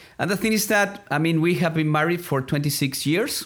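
A man speaks with a Spanish accent on a very clean recording with a silent background. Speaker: ministry development director. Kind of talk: interview.

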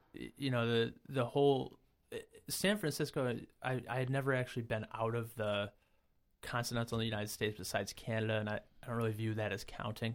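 Delivered at a fairly quick pace with fairly even intonation, the speech comes with an American accent in a very clean recording with a silent background. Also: man. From Rochester area, upstate New York (Brockport). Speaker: amateur competitive runner. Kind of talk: casual interview.

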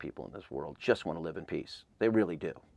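A very deep, low male voice with vocal fry and an American accent, very fast, against a quiet background. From Southern California, Claremont. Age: 50s. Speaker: concert tour founder and music promoter. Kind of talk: interview. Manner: halting, many false starts.

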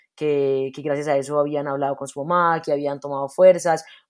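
Recorded very cleanly with a silent background, a woman with a Medellín accent speaks with fairly even intonation. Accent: Medellín (paisa) accent, noticeable. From Medellín, Colombia. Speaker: theater actress and director. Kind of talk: interview.

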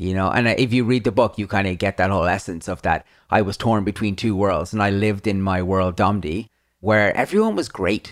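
A man with an Irish accent and a fairly low voice talks at a fairly quick pace. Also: fairly even intonation, very clean recording, silent background. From Ireland. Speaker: YouTuber and author. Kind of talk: interview.

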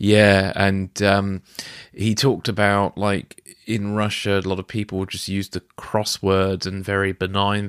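A man's very deep, low voice with a British accent, monotone and flat, in a very clean recording with a silent background and a dry, close sound with no echo. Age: 40s. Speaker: podcast host. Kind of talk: interview.

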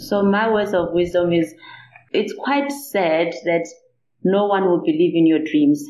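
A woman's medium-pitched voice at a fairly slow pace, with very wide pitch swings and very even loudness. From South Africa, Limpopo. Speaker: nuclear medicine specialist. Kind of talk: interview.

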